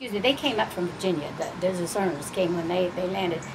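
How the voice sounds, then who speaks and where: A woman at medium pitch with an East Tennessee accent, audible room echo and noticeable background noise. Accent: East Tennessee Southern US. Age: 80s+. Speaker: elderly interviewee, descendant of mining family. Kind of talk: oral history interview. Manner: halting, with frequent fillers.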